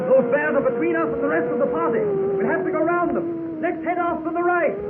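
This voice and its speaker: The voice moves at a fairly quick pace with very wide pitch swings. Noticeable background noise is present. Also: man, extremely high pitch for a man. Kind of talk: old-time radio adventure drama.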